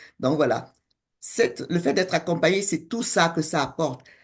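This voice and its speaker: Using an unremarkable speaking voice, a woman talks with ordinary pitch variation. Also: quiet background. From West Africa (Senegal and Togo). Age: 60s. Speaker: coach and co-author. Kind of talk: interview conversation.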